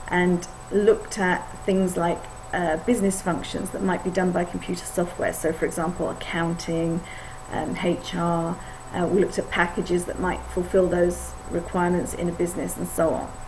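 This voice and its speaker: With an English accent, a woman speaks in a fairly low, monotone, flat voice at a moderate pace, amid noticeable background noise and audible room echo. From England. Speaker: IT consultant. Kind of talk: course video introduction. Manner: hesitant, many fillers.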